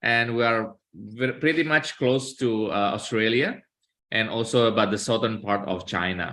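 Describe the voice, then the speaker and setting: The voice has an Indonesian accent, a bright, sharp tone, ordinary pitch variation and a moderate pace. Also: man, medium pitch for a man. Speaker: law professor. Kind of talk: academic presentation. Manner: halting, many filler sounds.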